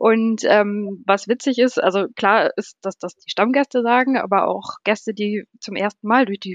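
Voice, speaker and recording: This woman's voice is fairly high in pitch, with ordinary pitch variation. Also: dry, close sound with no echo. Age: 30s. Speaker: hotel service manager. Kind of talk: casual interview. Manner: hesitant, many fillers.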